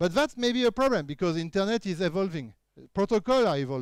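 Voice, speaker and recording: A man's high voice with a French accent and lively intonation, dry and close with no echo, in a very clean recording with a silent background. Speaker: keynote speaker, researcher. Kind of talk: conference talk. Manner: halting with frequent fillers.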